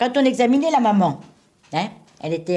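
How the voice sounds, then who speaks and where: A woman speaks with a Normandy accent in a dark, mellow tone. Her pitch swings very widely. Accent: Normandy (Alençon). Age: 70s. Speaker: retired midwife. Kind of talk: interview answer. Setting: archival radio recording.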